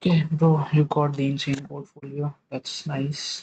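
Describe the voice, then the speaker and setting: A man with a somewhat breathy, fairly high voice speaks fairly slowly in a flat monotone. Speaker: student live-streaming coding practice. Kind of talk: live stream coding tutorial with chat. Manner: hesitant, many fillers. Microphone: audio cracking.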